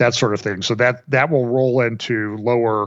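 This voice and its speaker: A man with a Midwestern American accent, medium pitch and a fairly slow pace. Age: 60s. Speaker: financial commentator. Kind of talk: casual interview chat.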